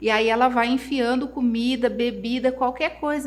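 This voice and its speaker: A woman talks fairly slowly in a high pitch. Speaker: therapist. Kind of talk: live online class. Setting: livestream.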